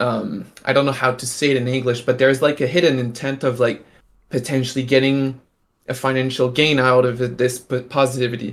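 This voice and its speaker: A man with a French accent speaks at a fairly quick pace. His medium-pitched voice stays monotone and flat. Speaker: NFT artist and stream host. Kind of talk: casual live-stream chat. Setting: live stream. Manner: halting, many fillers.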